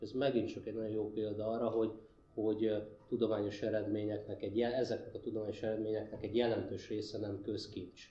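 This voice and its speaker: The voice is somewhat breathy and moves at a very fast pace. Its intonation is monotone and flat, with audible echo in the room. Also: man, fairly low pitch for a man. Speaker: human ecologist, university lecturer. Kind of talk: panel discussion Q&A. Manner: hesitant, repeats words.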